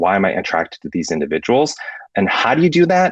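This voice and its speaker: A man speaks against a quiet background, his sound dry and close with no echo. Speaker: conference session presenter. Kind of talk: conference presentation. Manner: fast; halting, many false starts.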